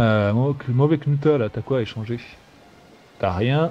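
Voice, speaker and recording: A man of medium pitch speaks in a dark, mellow, somewhat breathy tone with ordinary pitch variation. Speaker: gaming YouTuber. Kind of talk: casual let's play commentary. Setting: online voice chat. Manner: playful.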